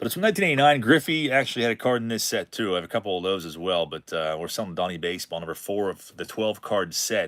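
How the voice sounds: With hardly any pauses, a man speaks at a very fast pace in a fairly low pitch with lively intonation.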